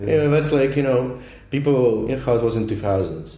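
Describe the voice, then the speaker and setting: Audible room echo around a man at a very fast pace, medium pitch, ordinary pitch variation. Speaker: international student, podcast co-host. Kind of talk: casual chat.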